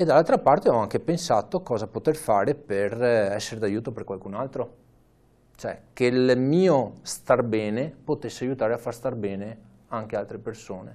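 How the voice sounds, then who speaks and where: Speaking at a moderate pace, a man with a dark, mellow tone and medium pitch shows ordinary pitch variation. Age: 30s. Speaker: amateur cyclist and charity fundraiser. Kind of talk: interview. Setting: studio.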